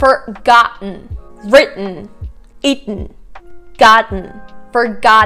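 A woman speaks with a fairly high pitch. Faint music plays in the background. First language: Russian. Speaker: English pronunciation teacher. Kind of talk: language tutorial to camera. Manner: upbeat, casual. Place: home room. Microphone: lapel.

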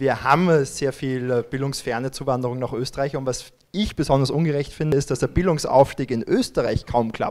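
A man at a fairly quick pace, fairly high in pitch, with fairly even intonation and a quiet background. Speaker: politician. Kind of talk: panel discussion. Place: meeting room. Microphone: handheld.

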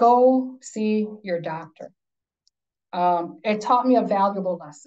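Very slowly and with big swings in loudness, a woman speaks in a fairly high pitch and a dark, mellow tone against a quiet background. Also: ordinary pitch variation. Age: 50s. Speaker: workplace consultant and wellness speaker; speaker. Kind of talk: lecture. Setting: video call. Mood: earnest, personal story. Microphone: video call.

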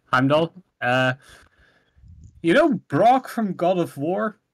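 Very slowly, a high-pitched man speaks with very wide pitch swings in a dry, close sound with no echo. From Netherlands. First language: Dutch. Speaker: game master. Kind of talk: tabletop roleplaying session. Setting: voice call.

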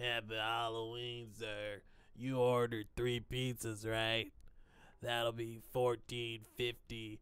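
In a put-on character voice, a man speaks very slowly at a medium pitch, his intonation monotone and flat. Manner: polite, cheerful.

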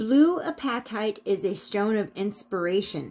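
A woman is talking with ordinary pitch variation. Background music can be heard. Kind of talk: prayer then casual tutorial talk. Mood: calm, gentle. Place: home room. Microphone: phone near.

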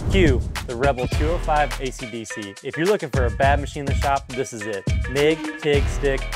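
A man speaks at a fairly quick pace. Clear music plays in the background, and the sound is dry with no echo. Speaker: presenter. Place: workshop. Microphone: lapel.

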